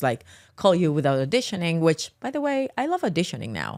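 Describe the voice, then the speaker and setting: A woman with a Colombian accent speaks very fast in a fairly low voice, on a very clean recording with a silent background. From Colombia, Medellín. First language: Spanish. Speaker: actress. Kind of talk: podcast interview. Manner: halting, with many repeated words.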